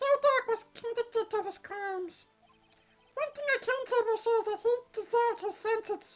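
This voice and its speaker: A man performs a squeaky, put-on character voice at an extremely high pitch. He keeps a moderate pace, with faint music in the background. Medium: game stream.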